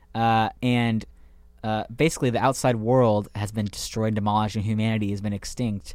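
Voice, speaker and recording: A man at a fairly low pitch and moderate pace, fairly even in intonation, with music in the background. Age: 20s. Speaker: podcast co-host, student. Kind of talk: casual chat.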